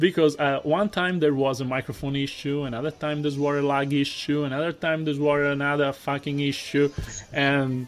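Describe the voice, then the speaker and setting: A man speaks with an Italian accent at a fairly high pitch and a moderate pace. His intonation is fairly even, and music plays in the background. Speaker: YouTuber and competitive Pokemon player. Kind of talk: casual chat.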